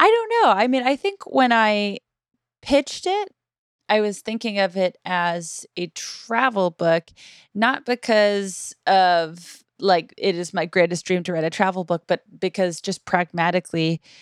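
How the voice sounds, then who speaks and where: In a plain, everyday voice, a woman speaks at a fairly slow pace with medium pitch and ordinary pitch variation, the sound dry and close with no echo on a very clean recording with a silent background. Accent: American. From US Northeast, Boston area. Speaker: podcaster and author. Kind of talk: casual chat.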